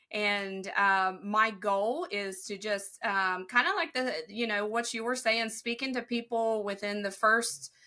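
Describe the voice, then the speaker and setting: A woman with a slight Southern US accent speaks at a moderate pace and a fairly high pitch, with a bright, sharp tone and ordinary pitch variation, on a very clean recording with a silent background. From Ohio, near Kentucky and West Virginia border. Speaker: respiratory therapist. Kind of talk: interview answer.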